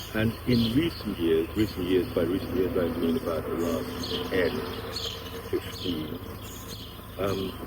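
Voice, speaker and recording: A man's very deep, low voice at a fairly slow pace, with fairly even intonation, long, frequent pauses and noticeable background noise. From England (Thai-born, partly France). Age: 70s. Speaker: Tai Chi and meditation teacher. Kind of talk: interview. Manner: halting; reflective, slow. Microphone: bad sound, mics didn't work.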